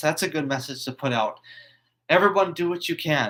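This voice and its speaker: A man speaks at a moderate pace in a bright, sharp tone, his fairly high pitch moving with ordinary variation. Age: 20s. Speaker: YouTuber. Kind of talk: live stream monologue. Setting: live stream on computer. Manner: halting, stuttering.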